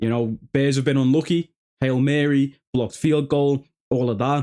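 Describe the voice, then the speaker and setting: This man speaks at a moderate pace in a Liverpool accent, his fairly high pitch paired with a dark, mellow tone and very even loudness. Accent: Scouse. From northern England, Liverpool. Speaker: sports YouTuber. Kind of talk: casual chat. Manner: animated.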